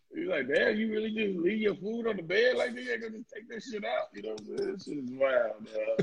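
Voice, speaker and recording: Amid noticeable background noise, a man talks at a fairly quick pace with hardly any pauses and big swings in loudness. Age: 30s. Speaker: podcast co-host. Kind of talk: casual chat.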